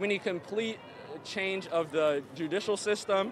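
In an American accent, a man speaks at a high pitch with ordinary pitch variation, in a dry sound with no echo and noticeable background noise. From Virginia. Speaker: protester; interviewee. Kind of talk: street interview. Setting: outdoors at a street protest. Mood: upset, earnest. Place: street. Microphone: handheld.

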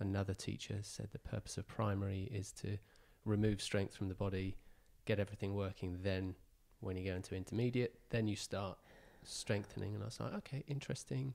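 A man with an English accent, fairly low in pitch, at a fairly quick pace with fairly even intonation. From England. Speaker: podcast co-host. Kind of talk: casual interview. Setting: in person at guest's home. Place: gym. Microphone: handheld.

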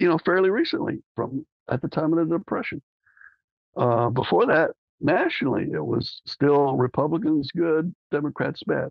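A man with an American accent speaks at a fairly high pitch with vocal fry. The sound is dry with no echo, over a quiet background. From Texas. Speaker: JFK assassination researcher; podcast guest. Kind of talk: interview. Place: home room. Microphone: video call.

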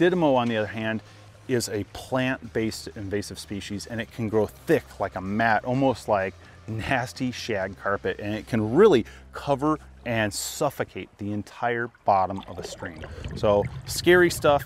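There is a man speaking with lively intonation at a moderate pace. The sound is dry with no echo. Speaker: fly fishing host. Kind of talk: educational presenting to camera. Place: waterside. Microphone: lapel.

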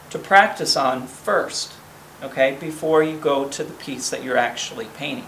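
Through audible room echo and light background noise, a man speaks at a fairly slow pace. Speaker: home workshop host. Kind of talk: tutorial. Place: garage. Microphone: camera far.

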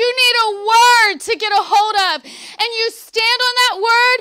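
A woman's extremely high, raised and projected voice, animated in tone, very even in loudness and fairly slow in pace. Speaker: preacher delivering a sermon. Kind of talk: Baptist revival sermon; preaching to a congregation. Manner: conversational, animated, emphatic. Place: tent. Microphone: handheld.

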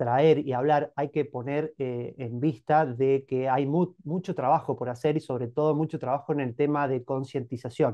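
A man at a fairly slow pace with fairly even intonation, over a quiet background. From Argentina, Mendoza (Monte Comán, San Rafael); Mendoza, Argentina. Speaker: chemical engineer, cooperative member. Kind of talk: interview. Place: home room. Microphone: video call.

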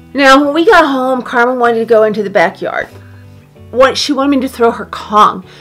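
A woman talks while music plays faintly behind her. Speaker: dog owner vlogger. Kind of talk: casual vlog chat. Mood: worried but calm. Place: home room.

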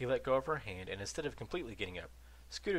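A natural reading voice is heard throughout.

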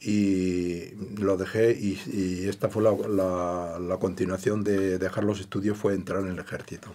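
A man's very deep, low voice, dark and mellow, flat and monotone, at a fairly slow pace with hardly any pauses. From Andalusia, Granada province; Andalusia. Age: 70s. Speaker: retired electrician; interview guest. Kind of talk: interview. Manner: halting. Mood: calm reminiscing. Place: studio.

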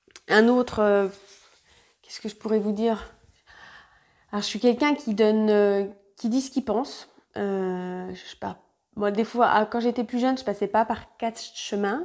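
In a quiet background, a woman with a fairly high pitch speaks at a moderate pace. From France, Côte-d'Or (Burgundy). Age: 30s. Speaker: sewing YouTuber. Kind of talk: casual vlog monologue. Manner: hesitant, many fillers. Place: home room. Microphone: lapel.

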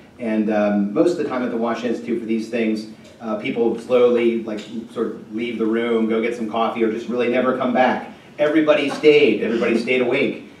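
Against light background noise and audible room echo, a man talks at a fairly quick pace with fairly even intonation. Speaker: speaker. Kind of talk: speaker introduction. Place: hall.

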